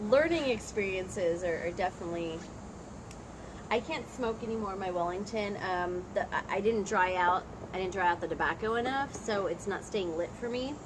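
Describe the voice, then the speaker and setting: A woman's medium-pitched voice at a moderate pace with ordinary pitch variation, amid noticeable background noise. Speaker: teacher and channel co-host. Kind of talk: casual chat. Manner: loud, projecting.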